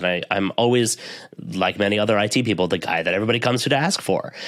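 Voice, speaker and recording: A man speaks with an American accent and ordinary pitch variation. His pitch is fairly low. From US East Coast. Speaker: IT professional and podcaster. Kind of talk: interview conversation. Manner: fast.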